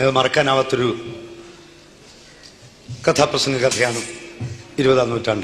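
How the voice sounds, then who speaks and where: Noticeable background noise sits behind a man with a fairly high pitch. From Alappuzha, Kerala. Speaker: Kathaprasangam storyteller. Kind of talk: reminiscing talk about his own story.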